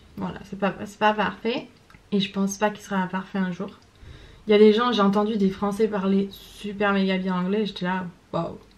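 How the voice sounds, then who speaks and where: Speaking at a moderate pace and medium pitch, a woman keeps a monotone, flat intonation while her loudness swings widely. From France. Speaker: vlogger. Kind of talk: casual vlog monologue. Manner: hesitant, many fillers.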